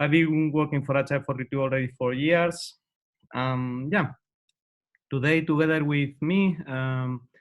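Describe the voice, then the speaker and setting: With a Spanish accent, a man speaks at a moderate pace and a fairly high pitch, his intonation fairly even. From Spain, Madrid. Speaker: agile coach and trainer. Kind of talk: webinar introduction. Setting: online webinar. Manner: hesitant, many fillers.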